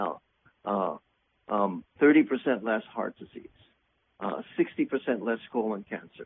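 Speaking at a very slow pace, a man pauses long and often while his loudness swings widely. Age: 60s. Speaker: physician-nutritionist and author. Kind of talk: interview conversation.

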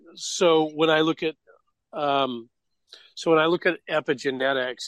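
A man's unremarkable speaking voice at a moderate pace, fairly even in intonation, with a dry, close sound and no echo. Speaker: radio show host. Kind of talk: casual interview.

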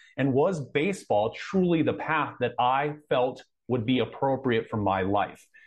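A man with an American accent and a plain, everyday voice speaks at a fairly slow pace in a medium pitch, with lively intonation and very even loudness. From Southern California (Anaheim). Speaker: coach and combat veteran. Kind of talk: interview.

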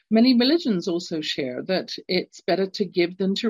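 A woman speaks in an English accent at a medium pitch and a fairly slow pace. Her intonation is lively, and the background is quiet. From London, England. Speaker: radio show host and executive coach. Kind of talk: solo radio talk. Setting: live radio stream.

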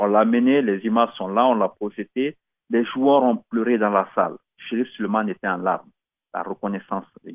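His speaking tempo is medium. The man's voice sits at a mid-range pitch. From Guinea (Conakry). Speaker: radio host. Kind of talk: solo radio monologue. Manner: hesitant, many fillers.

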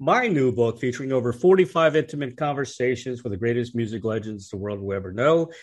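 Against a quiet background, a man with an ordinary speaking voice talks at a medium pitch. He uses lively intonation and hardly any pauses. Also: fairly quick pace. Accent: American. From Washington DC. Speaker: radio host and music journalist. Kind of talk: scripted introduction; interview.

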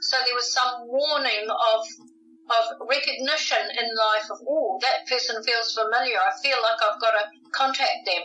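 Over noticeable background noise, a woman with a New Zealand accent speaks in a high pitch with lively intonation at a moderate pace. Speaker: author and UFO researcher. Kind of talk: interview.

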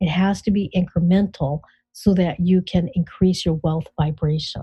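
A woman's somewhat breathy voice at medium pitch, warm, gentle and dark, mellow in tone, with ordinary pitch variation. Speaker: financial coach and author. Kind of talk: guided visualization in a conversational interview. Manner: warm, coaxing run-on delivery with gentle repetitions; builds excited, cheerful anticipation.

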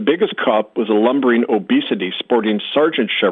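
Plain reading aloud is what this clip contains.

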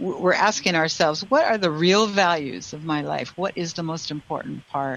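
With hardly any pauses, a woman talks at a moderate pace in a normal speaking voice, fairly low in pitch with ordinary pitch variation. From Canada. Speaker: radio host and intuitive healer. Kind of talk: call-in show chat. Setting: radio studio with phone and Zoom callers.

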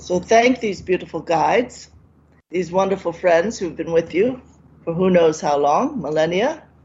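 Somewhat breathy, a woman talks at a moderate pace in a fairly low pitch, with lively intonation. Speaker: radio show host. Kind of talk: guided meditation. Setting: radio studio.

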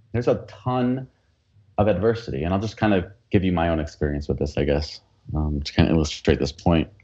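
A man with an American accent speaks at a very fast pace. His voice is very deep and low, with lively intonation. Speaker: entrepreneur coach and speaker. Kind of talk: interview chat.

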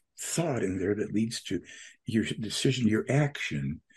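A dark, mellow, somewhat breathy voice at a moderate pace, in a very clean recording with a silent background. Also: man. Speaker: UFO talk show host. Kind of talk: monologue commentary.

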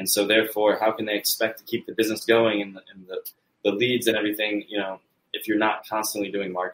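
Speaking at a very fast pace in an American accent, a man keeps a fairly low pitch and monotone, flat intonation while his loudness swings widely. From United States. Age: 30s. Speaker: entrepreneur and marketing company founder. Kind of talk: interview.

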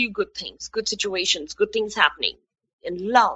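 The speaker has a normal speaking voice with ordinary pitch variation. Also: woman. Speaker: radio host. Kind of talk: guided relaxation and talk show monologue. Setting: radio show broadcast.

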